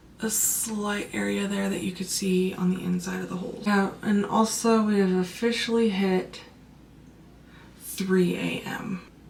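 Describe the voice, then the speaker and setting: Over noticeable background noise and audible room echo, a woman speaks at medium pitch and a fairly slow pace in a monotone, flat intonation. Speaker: makeup content creator. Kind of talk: makeup tutorial. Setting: at home late at night.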